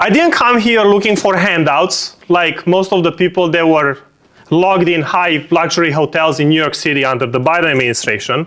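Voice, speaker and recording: Over noticeable background noise, a man talks at a fairly quick pace in a high pitch, his loudness very even and his pitch variation ordinary. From Romania. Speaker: political speaker. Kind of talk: speech.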